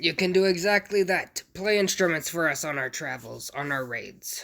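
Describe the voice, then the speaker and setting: Someone puts on a character voice at a middle pitch, talking at a moderate pace. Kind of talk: pirate talk. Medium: actual play. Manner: gruff, salty.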